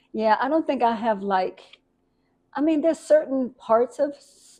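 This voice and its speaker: A woman talks at a moderate pace in a plain, everyday voice. Her intonation is lively. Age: 60s. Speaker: community elder of a rap cypher organization. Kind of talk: interview.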